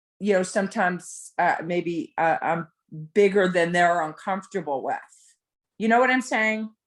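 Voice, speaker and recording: In a very clean recording with a silent background, a woman speaks at medium pitch and a moderate pace with an American accent. She has an unremarkable speaking voice with ordinary pitch variation. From New Jersey. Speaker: brunch attendee. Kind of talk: casual chat.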